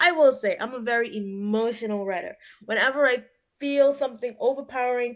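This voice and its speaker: Against a quiet background, a woman with an ordinary speaking voice talks at a fairly quick pace with ordinary pitch variation. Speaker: hip hop musician. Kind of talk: interview.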